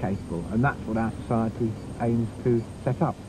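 A man speaks at a very fast pace in a medium pitch. Noticeable background noise surrounds a dry sound with no echo. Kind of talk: documentary interview. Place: garden.

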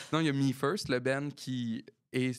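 Fairly even intonation from a man at a medium pitch against a quiet background. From Quebec. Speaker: musician and podcast co-host; podcast co-host. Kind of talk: casual chat. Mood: jovial, laughing. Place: studio. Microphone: studio mic.

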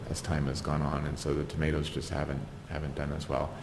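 With an American accent, a man speaks in a very deep, low pitch amid audible room echo. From Southern California, Ventura County. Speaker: community gardener. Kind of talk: oral history interview. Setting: at his home.

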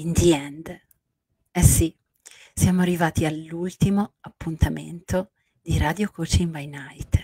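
In a quiet background, a woman speaks at a very slow pace with long, frequent pauses, her fairly low, somewhat breathy voice dark and mellow in tone, flat and monotone in intonation, with big swings in loudness. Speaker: life coach. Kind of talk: late-night radio-style coaching talk. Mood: warm, soft, emotional. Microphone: handheld.

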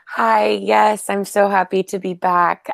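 A woman is speaking. The sound is dry with no echo, and the background is quiet. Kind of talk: casual sharing of an experience. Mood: happy, reflective. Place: home room. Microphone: earbuds.

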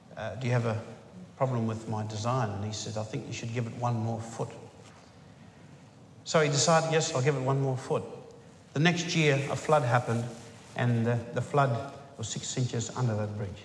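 A man talks at a moderate pace with ordinary pitch variation, leaving long, frequent pauses. There is audible room echo and light background noise. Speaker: speaker. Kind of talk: formal speech. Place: hall. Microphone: podium.

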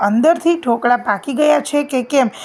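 A woman speaks in a high voice with ordinary pitch variation. Noticeable background noise runs underneath. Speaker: home cook. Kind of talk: cooking tutorial.

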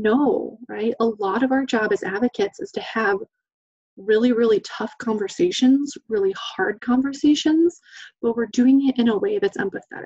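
A high-pitched woman's voice with an American accent, dark, mellow tone and lively intonation, at a moderate pace, with a dry, close sound and no echo. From Idaho, US. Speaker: domestic violence training specialist. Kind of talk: webinar presentation. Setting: online webinar.

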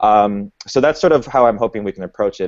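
A man with an ordinary speaking voice talks at a fairly quick pace with ordinary pitch variation. The sound is dry with no echo and the background is quiet. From Boston. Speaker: panel moderator and community organizer; panel moderator. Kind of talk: panel moderation. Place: home room. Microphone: earbuds.

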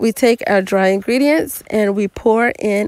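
A woman speaks at a very slow pace in a dry sound with no echo. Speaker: home cook channel host. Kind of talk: cooking tutorial voice-over.

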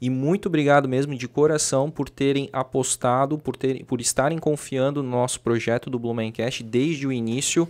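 Barely pausing, a man speaks at a moderate pace with fairly even intonation. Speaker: podcast host. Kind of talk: casual interview. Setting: studio. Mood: grateful, warm. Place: studio. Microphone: studio mic.

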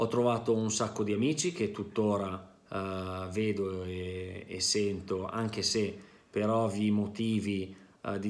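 Speaking at a very slow pace, a man uses a fairly low pitch. His intonation stays fairly even. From northern Italy, province of Pavia; northern Italy. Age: 40s. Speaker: business manager, former student. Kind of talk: testimony. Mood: positive, earnest. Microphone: webcam.

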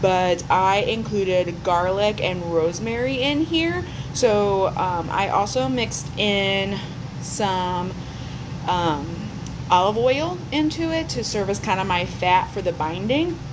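A woman talks very slowly, with noticeable noise in the background. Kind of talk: casual vlog chat. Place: kitchen. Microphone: phone near.

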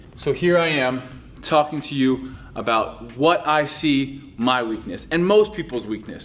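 This man's delivery is fairly slow, and his pitch moves up and down in an ordinary way. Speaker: fitness coach. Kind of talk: tutorial. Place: classroom.

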